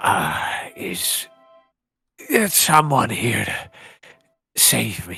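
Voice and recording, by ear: In a put-on character voice, the speaker talks very slowly with a raspy, low-to-middle pitch.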